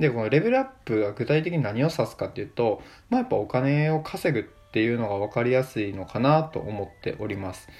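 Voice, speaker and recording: In a plain, everyday voice, a man of medium pitch talks at a fairly quick pace with lively intonation and hardly any pauses. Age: 20s. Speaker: podcaster. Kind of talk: solo casual talk.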